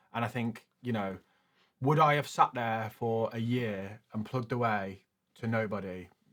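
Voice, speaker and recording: A man with a British accent and medium pitch speaks at a moderate pace with fairly even intonation in a very clean recording with a silent background. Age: 30s. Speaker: finance youtuber. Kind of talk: casual interview.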